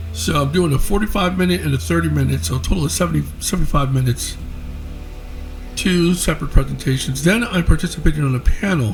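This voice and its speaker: A man talks very fast as music plays in the background. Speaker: app developer and paranormal presenter. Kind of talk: casual talk to camera.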